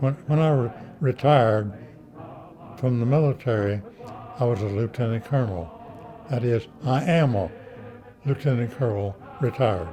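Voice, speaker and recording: A man with an American accent keeps his loudness very even at a moderate pace, leaving long, frequent pauses over noticeable background noise. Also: medium pitch for a man, ordinary pitch variation. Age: 80s+. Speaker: war veteran. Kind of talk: interview answer.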